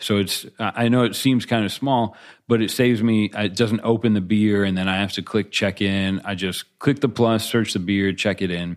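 A man with an unremarkable speaking voice talks at a moderate pace with hardly any pauses. His pitch is fairly low and his intonation fairly even. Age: 30s. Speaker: beer podcast co-host. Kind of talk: casual chat.

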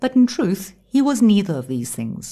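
With an animated, theatrical tone, a woman at a medium pitch speaks somewhat breathily, her pitch swinging very widely. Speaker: audiobook narrator. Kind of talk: dramatic audiobook narration, reading aloud with character voices. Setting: studio. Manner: animated and expressive, theatrical, shifting tone for each character; solemn, suspenseful delivery in the thriller excerpt.

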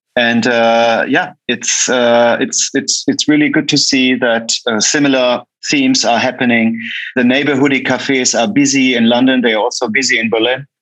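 A man with a German accent speaks at a moderate pace in a medium pitch. His loudness stays very even and his intonation fairly even. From Germany. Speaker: coffee roaster and cafe founder. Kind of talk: casual interview.

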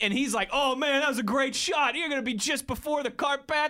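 Raising and projecting his voice, a man talks very fast at an extremely high pitch with a bright, sharp tone. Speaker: sports radio co-host.

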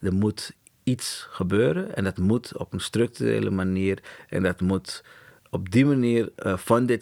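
A man's very deep, low voice, dry and close with no echo, on a very clean recording with a silent background. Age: 40s. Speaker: agency co-founder. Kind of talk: interview.

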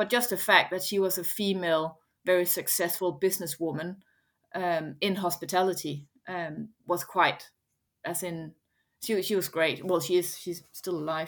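A woman with a Danish accent speaks at a moderate pace. Her pitch is fairly low and her intonation fairly even. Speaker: head of food at a bakery chain, chef. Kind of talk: interview.

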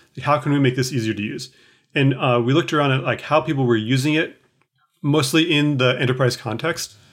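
A man's medium-pitched voice with ordinary pitch variation. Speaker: software engineer. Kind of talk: casual interview. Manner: halting, many fillers.

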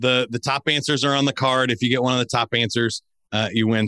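A man's animated, upbeat voice with a bright, sharp tone at a moderate pace, in a very clean recording with a silent background and a dry, close sound with no echo. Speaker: game show host and speaker. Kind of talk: game show host running a survey-style quiz round. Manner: playful, joking.

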